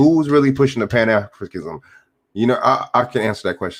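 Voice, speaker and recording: Very fast speech with very wide pitch swings comes through on a very clean recording with a silent background. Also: man. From United States. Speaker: YouTube commentator. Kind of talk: livestream commentary reading chat. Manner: halting, many fillers.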